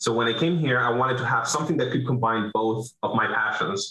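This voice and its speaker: A man with a Venezuelan accent talks at a fairly quick pace and medium pitch, with ordinary pitch variation. Room echo is audible. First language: Spanish. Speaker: business owner, roofing contractor. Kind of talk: interview. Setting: video call.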